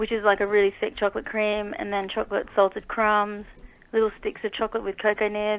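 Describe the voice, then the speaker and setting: A woman with an Australian accent, fairly high in pitch, fairly quick, and monotone and flat in intonation. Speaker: dessert chef and small business owner. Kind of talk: radio interview. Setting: phone call.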